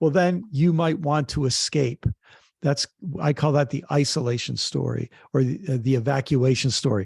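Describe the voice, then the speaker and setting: Here a man talks at a fairly quick pace in a fairly high, somewhat breathy voice. His pitch variation is ordinary. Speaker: author, activist and theologian. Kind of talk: interview answer.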